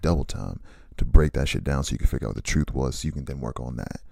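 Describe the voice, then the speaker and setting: A man with a very deep, low voice and a dark, mellow tone speaks at a very fast pace with vocal fry and ordinary pitch variation. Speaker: vlogger. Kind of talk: casual monologue. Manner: animated.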